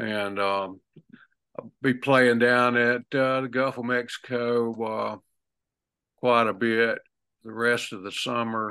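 Against a quiet background, a man with a Southern US accent speaks at a medium pitch in a bright, sharp tone, his intonation monotone and flat, at a very slow pace with long, frequent pauses. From southern Alabama, US South. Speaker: singer-songwriter. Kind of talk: casual interview. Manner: halting.

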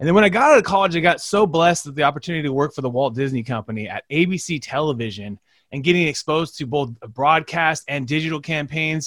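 Energetic and lively in intonation, a man with a fairly high pitch rattles along at a very fast pace, the sound dry and close with no echo. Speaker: social media agency CEO and podcast host. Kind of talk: interview. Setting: video call.

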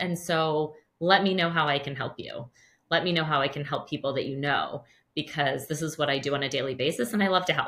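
A woman with a very deep, low pitch and a bright, sharp tone speaks at a moderate pace with ordinary pitch variation. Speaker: podcast host. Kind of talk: interview.

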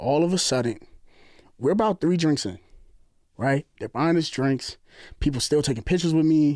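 A man with a New Jersey accent and a fairly high pitch, lively in intonation, at a moderate pace with long, frequent pauses, in a very clean recording with a silent background. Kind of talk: casual chat.

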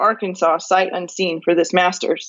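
A woman speaks at a moderate pace with an American accent. She has an ordinary speaking voice. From California. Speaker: law professor and farmer. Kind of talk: interview conversation.

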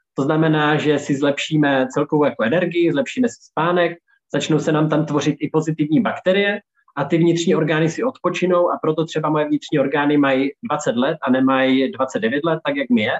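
Here is a man with an ordinary speaking voice, pitched fairly high. He talks at a fairly quick pace with ordinary pitch variation. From Czechia, Olomouc. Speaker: healthy lifestyle consultant and chef. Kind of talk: interview. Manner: casual, filler-heavy.

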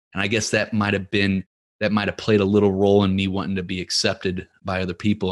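A man speaks with an American accent. His intonation is monotone and flat, over a quiet background. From US Midwest (Ferguson, Missouri). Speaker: podcast coach and entrepreneur. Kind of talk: casual interview.

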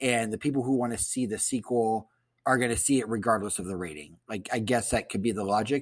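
An unremarkable speaking voice: a man with a medium pitch and ordinary pitch variation talks at a fairly quick pace. The recording is very clean, with a silent background. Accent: American. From Columbus, Ohio, US Midwest. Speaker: guest podcast host. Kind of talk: casual chat.

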